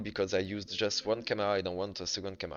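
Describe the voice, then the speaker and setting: The speaker is a man with a non-native accent. His pitch sits fairly low. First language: French. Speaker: game developer. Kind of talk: tutorial. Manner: halting.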